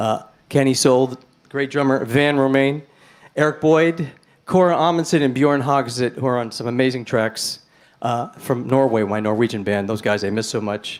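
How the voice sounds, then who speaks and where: In a New York accent, a man talks at a moderate pace with medium pitch and ordinary pitch variation, on a very clean recording with a silent background. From New York City, Manhattan. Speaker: blues rock guitarist and singer. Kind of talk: stage banter between songs. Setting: live-streamed club gig. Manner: chatty, animated.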